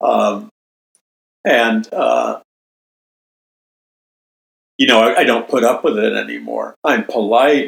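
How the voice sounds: In an American accent, a man talks slowly at a medium pitch with ordinary pitch variation, vocal fry, a slightly husky edge, and long, frequent pauses.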